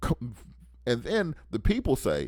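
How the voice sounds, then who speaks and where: A man's medium-pitched voice with vocal fry, an animated tone and very wide pitch swings at a fairly slow pace, on a very clean recording with a silent background. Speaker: radio talk host and civil rights attorney. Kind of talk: political commentary monologue. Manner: halting, with restarts and fillers.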